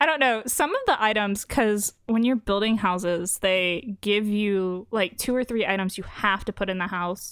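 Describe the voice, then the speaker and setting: The recording is very clean, with a silent background. An ordinary speaking voice moves at a moderate pace with ordinary pitch variation and hardly any pauses. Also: woman, medium pitch for a woman. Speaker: video game performer showcasing her designs. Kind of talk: casual chat.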